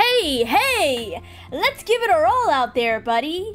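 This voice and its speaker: A woman uses a put-on character voice at an extremely high pitch, with very wide pitch swings. She speaks at a fairly slow pace over clear music in the background. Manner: cheerful, encouraging.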